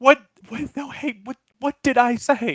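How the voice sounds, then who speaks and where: Pitched high in a put-on character voice, the speaker moves at a fairly slow pace. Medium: actual play. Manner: flustered.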